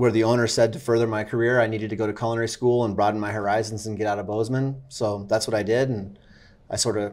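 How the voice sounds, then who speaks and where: At a very fast pace, a man speaks with a monotone, flat intonation. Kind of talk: interview answer. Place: cafe. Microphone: lapel.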